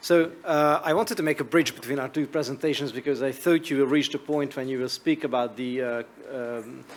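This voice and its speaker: A man talks at a fairly quick pace with a Hungarian accent. His pitch varies in an ordinary way. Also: fairly high pitch for a man. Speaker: media regulator. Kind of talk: conference presentation.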